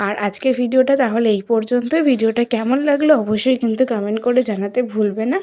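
This woman has a fairly high pitch and a dark, mellow tone. Her pitch variation is ordinary. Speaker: vlogger. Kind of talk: vlog narration. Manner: casual, conversational.

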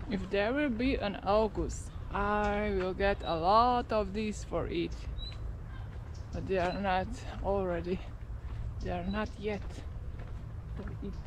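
With noticeable background noise and a dry sound with no echo, a woman talks at a very slow pace, leaving long, frequent pauses. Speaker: vlogger. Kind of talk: casual vlog chat. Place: open country. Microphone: phone near.

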